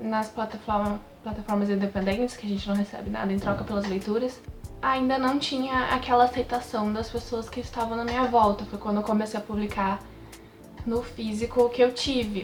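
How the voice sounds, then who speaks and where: Over music in the background, a woman with a fairly high pitch speaks fairly quickly in a monotone, flat delivery. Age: 20s. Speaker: writer. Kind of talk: casual talk to camera.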